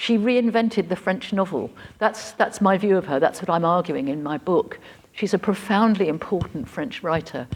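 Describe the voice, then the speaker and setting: A woman speaks in a British accent at a moderate pace. Her pitch is medium, with ordinary variation. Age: 70s. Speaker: writer and professor of creative writing. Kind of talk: conference Q&A.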